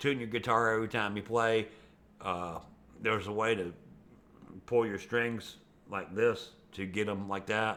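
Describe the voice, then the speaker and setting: The man's voice is fairly low with a bright, sharp tone. He leaves long, frequent pauses. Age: 60s. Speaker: video blogger. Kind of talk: casual monologue. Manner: rambling, conversational with fillers.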